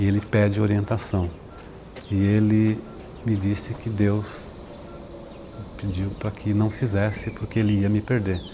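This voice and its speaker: The speaker moves at a fairly slow pace. Background noise is noticeable. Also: man. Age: 60s. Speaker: patient sharing his story. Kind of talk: testimony. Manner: halting.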